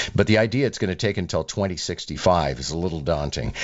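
A man with a very deep, low pitch, fairly quick and swinging very widely in pitch, over noticeable background noise. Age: 60s. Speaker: radio talk show host. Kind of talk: radio interview. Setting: radio studio.

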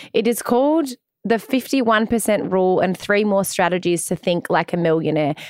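Speaking in an Australian accent, a woman uses a medium pitch with lively intonation at a moderate pace. Her loudness is very even, and the recording is very clean with a silent background. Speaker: podcast co-host. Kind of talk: casual chat. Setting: studio.

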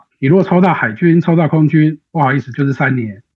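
A man talks in a somewhat breathy voice at a fairly high pitch with ordinary pitch variation. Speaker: political aide and analyst. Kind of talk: interview analysis.

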